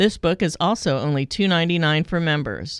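A woman with an unremarkable speaking voice talks at a fairly low pitch with fairly even intonation. The recording is very clean, with a silent background. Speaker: announcer reading updates. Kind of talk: scripted announcements.

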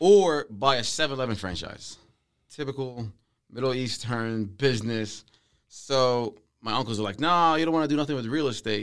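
With an ordinary speaking voice, a man talks at a moderate pace and medium pitch, his pitch varying in an ordinary way. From Palestinian, raised in Saudi Arabia then Philadelphia area, USA. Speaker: real estate investor. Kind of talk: casual chat.

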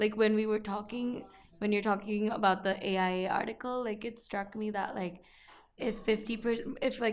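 Music plays behind a woman who speaks fairly slowly at a fairly high pitch in a monotone, flat intonation. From India. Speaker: junior architect. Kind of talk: casual chat.

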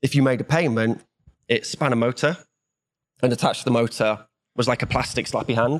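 Speaking fairly quickly in a Welsh accent, a man keeps very even loudness and fairly even intonation, broken by long, frequent pauses. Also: medium pitch for a man. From Wales. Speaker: software developer. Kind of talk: casual chat.

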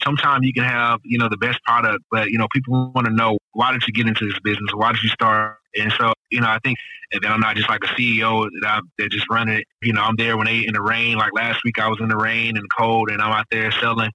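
A man with an American accent talks at a fairly quick pace with hardly any pauses, in a monotone, flat intonation at very even loudness. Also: medium pitch for a man. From Houston, Texas (Acres Homes, north side). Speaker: urban farmer and spice company owner. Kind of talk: casual interview.

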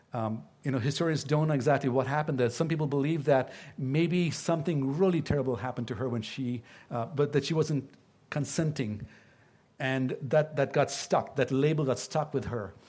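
A man with a Tamil accent, somewhat breathy, fairly high-pitched, at a moderate pace with ordinary pitch variation, in a very clean recording over a silent background. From India (Tamil-speaking). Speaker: pastor. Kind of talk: sermon. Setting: church. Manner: halting.

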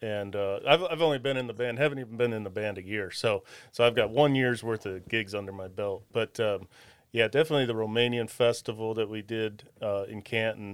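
An unremarkable speaking voice from a man with an American accent, medium pitch, ordinary pitch variation and a fairly quick pace. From Ohio, Wadsworth. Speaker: guitarist and singer. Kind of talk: casual chat.

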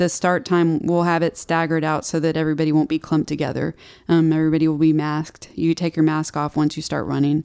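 Speaking very fast in a flat monotone, a woman with a very deep, low voice and a dark, mellow tone is heard in a very clean recording with a silent background. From Texas, Houston. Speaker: health and nutrition coach. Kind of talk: casual chat.

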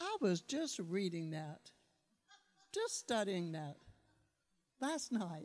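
A woman's medium-pitched voice at a very slow pace, with very wide pitch swings and long, frequent pauses. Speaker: church member reading scripture. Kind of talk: reading aloud.

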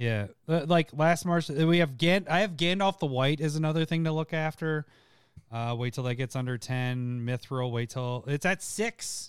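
A man speaks in a plain, everyday voice at a fairly high pitch with ordinary pitch variation. The pace is moderate, and the recording is very clean with a silent background. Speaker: podcast host. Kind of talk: casual chat. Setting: live stream.

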